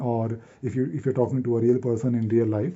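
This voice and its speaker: At a fairly quick pace, a man with a North Indian accent speaks at medium pitch. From Delhi, North India. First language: Hindi. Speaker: YouTuber and software consultant. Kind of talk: casual vlog monologue to camera. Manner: fast; halting, many repetitions and fillers.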